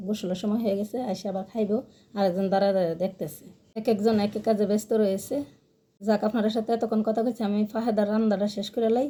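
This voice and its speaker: In a fairly high, somewhat breathy voice with a dark, mellow tone, a woman speaks in a flat monotone. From Bangladesh, Brahmanbaria region. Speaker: cooking and village-life vlogger. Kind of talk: casual vlog narration. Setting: outdoors in a village.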